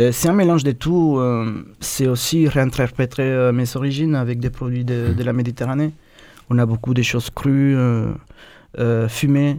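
A man with a Spanish accent speaks fairly slowly at medium pitch, in a dark, mellow tone. His intonation is fairly even, and the recording is very clean with a silent background. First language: Spanish (speaking French). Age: 30s. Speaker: chef. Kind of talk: radio interview.

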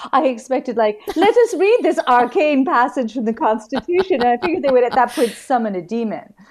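A woman speaks at a fairly quick pace in a high pitch. Her intonation is lively. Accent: American. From New York City, Manhattan. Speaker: novelist and comics editor. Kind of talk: casual chat.

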